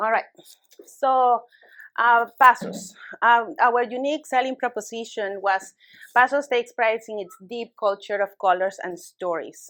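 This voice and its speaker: Speaking fairly slowly with a Spanish accent, a woman has a fairly high, bright, sharp voice with ordinary pitch variation and big swings in loudness, on a very clean recording with a silent background. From Peru. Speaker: small business owner. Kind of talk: business presentation. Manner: halting.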